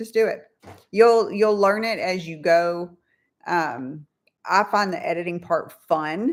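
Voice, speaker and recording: A woman with an American accent, medium in pitch, very slow in pace, with ordinary pitch variation. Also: big swings in loudness, very clean recording, silent background. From California. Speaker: YouTube channel co-host. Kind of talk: casual live-stream chat. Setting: live stream.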